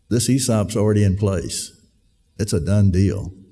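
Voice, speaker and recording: A man speaks at a fairly slow pace in a fairly low pitch, his dark, mellow tone carrying audible room echo. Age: 70s. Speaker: event speaker, brother of company owner. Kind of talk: speech to employees. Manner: halting, many fillers.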